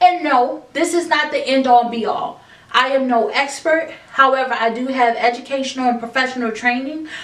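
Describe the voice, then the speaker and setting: With a high pitch, ordinary pitch variation and hardly any pauses, a woman talks over noticeable background noise in a room with audible echo. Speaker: self-help podcast host. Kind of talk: motivational monologue. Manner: slow; halting.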